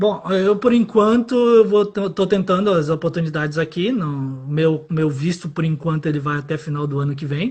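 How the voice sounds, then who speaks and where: The pace is moderate, with hardly any pauses. Pitch variation is ordinary. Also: man, high pitch for a man. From Brazil, Pará (mixed accent from company town). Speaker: electrical engineer. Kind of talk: interview.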